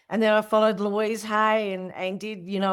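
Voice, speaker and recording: A woman with an Australian accent is heard on a very clean recording with a silent background. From Australia, Tasmania. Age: 60s. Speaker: spiritual teacher. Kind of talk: interview conversation. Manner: casual, halting with repetitions.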